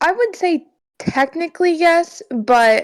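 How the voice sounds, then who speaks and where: A quiet woman's voice on a very clean recording with a silent background. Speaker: esports player and in-game leader. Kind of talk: podcast interview. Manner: quiet, monotone; halting, many fillers.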